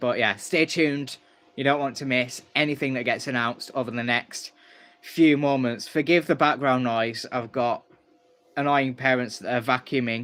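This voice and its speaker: A man's medium-pitched voice with fairly even intonation, at a moderate pace. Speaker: YouTube streamer. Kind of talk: live stream. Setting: at home. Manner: loud.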